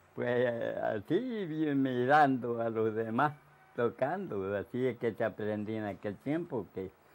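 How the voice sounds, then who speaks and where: A man speaking at a very slow pace with ordinary pitch variation. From Puerto Rico. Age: 80s+. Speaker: elderly resident recalling the past. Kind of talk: interview answer. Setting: outdoors. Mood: cheerful, nostalgic. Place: home room.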